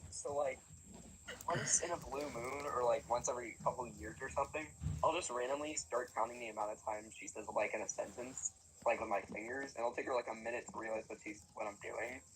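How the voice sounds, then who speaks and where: Over noticeable background noise, a man talks at a fairly quick pace. His intonation is lively. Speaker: live streamer. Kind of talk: casual chat. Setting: live stream. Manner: many filler words and pauses.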